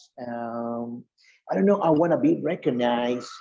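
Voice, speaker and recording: At a fairly slow pace, a man speaks at a medium pitch in a dark, mellow tone. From Colombia. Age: 30s. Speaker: English language student. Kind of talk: casual conversation practice. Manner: halting.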